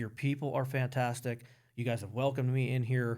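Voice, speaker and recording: Very fast, somewhat breathy speech with an American accent, in a very clean recording with a silent background. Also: man. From Pennsylvania (Emmaus, near Allentown). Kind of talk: podcast interview. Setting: studio.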